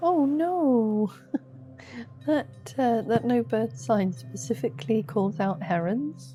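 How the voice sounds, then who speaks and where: A soft-spoken woman of medium pitch with very wide pitch swings, music in the background. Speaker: gaming youtuber. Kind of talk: sleepy gameplay commentary. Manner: slow.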